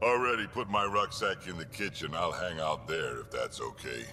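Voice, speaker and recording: Over clear background noise, a man performs in a put-on character voice. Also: moderate pace. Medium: video game. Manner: gruff.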